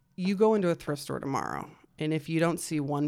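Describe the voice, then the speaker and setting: With vocal fry, a woman speaks on a very clean recording with a silent background. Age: 30s. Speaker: podcast host. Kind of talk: casual chat.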